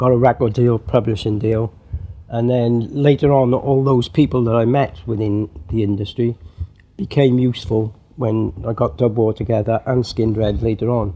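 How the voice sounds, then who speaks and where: A man with a Welsh accent, medium in pitch, dark and mellow in tone, at a moderate pace with ordinary pitch variation. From Wales. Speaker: drummer and music producer. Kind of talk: interview. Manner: halting.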